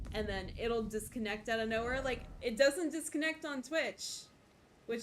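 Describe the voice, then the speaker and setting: A woman speaks loudly at a high pitch. Her pace is fairly slow and her intonation is lively. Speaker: video game streamer. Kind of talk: live gameplay commentary. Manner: casual, rambling.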